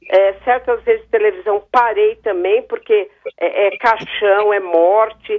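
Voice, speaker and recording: The delivery is fairly slow, with very wide pitch swings. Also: woman. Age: 60s. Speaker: caller. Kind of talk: radio call-in comment.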